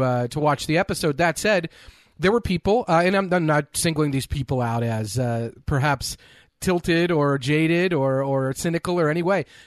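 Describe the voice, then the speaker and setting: A man talks at a fairly quick pace in an unremarkable speaking voice, fairly high in pitch with ordinary variation. The sound is dry and close with no echo over a quiet background. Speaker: podcast host. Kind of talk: casual chat.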